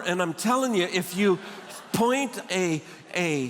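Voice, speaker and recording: Noticeable background noise is present. A man talks with ordinary pitch variation. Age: 70s. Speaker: guest speaker. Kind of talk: sermon. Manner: humorous storytelling.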